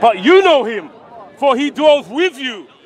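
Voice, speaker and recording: Crowd noise fills the background as a man talks at a fairly slow pace. The sound is dry, with no echo. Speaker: street preacher debater. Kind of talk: heated religious debate. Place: street. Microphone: phone near.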